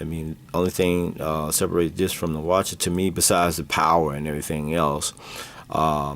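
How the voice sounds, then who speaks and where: A man speaks at a fairly quick pace with a very deep, low pitch. His intonation is monotone and flat. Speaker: comics collectibles seller and show host. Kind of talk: casual video show presentation. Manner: halting, many fillers.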